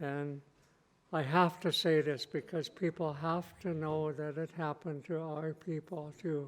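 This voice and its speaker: In an American accent, a man speaks fairly slowly at a fairly high pitch, his intonation monotone and flat. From US Pacific Northwest, Lummi Nation. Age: 70s. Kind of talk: keynote speech. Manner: halting, with fillers.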